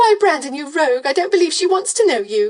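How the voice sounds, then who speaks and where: In a put-on character voice, a woman squeaks at an extremely high pitch with very wide pitch swings and a fairly quick pace. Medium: read story. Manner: gushing, sugary.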